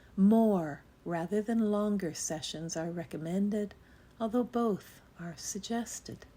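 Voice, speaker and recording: Her tone is dark and mellow, gentle and calm. This woman sounds somewhat breathy. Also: very clean recording, silent background. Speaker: spiritual text reader. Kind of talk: meditative spiritual reading. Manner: gentle, calm.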